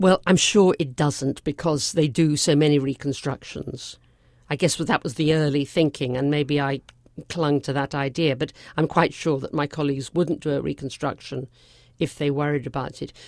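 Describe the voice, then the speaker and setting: On a very clean recording with a silent background, a woman with an English accent speaks at a moderate pace in a very deep, low pitch with fairly even intonation. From England. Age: 70s. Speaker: physician and breast cancer survivor. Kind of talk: interview.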